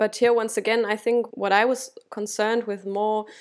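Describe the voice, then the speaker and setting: A woman speaks in a German accent at a fairly high pitch, her intonation monotone and flat. The recording is very clean, with a silent background. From Germany. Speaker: academic researcher. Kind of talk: interview. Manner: halting.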